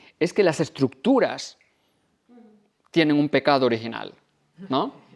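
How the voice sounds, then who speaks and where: A man's voice makes very wide pitch swings on a very clean recording with a silent background. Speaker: author and university professor. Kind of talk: book presentation talk. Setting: library event with audience. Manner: fast.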